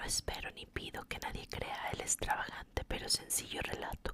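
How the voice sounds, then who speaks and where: Amid noticeable background noise, a woman whispers at a fairly slow pace. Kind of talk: whispered ASMR reading of a classic short story. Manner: whispered, soft.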